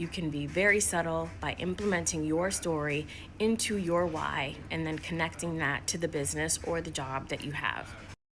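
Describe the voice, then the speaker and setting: With music in the background, a woman with an American accent and a very deep, low pitch talks with hardly any pauses and ordinary pitch variation. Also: moderate pace. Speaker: workplace inclusion consultant. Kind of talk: motivational talk to camera.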